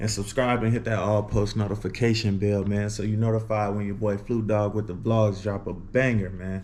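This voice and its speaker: Audible room echo carries a man with an American accent talking at a moderate pace and fairly low pitch, monotone and flat, with hardly any pauses. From US Midwest, Illinois. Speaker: vlogger. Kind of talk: casual vlog talk to camera. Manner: casual, filler-heavy.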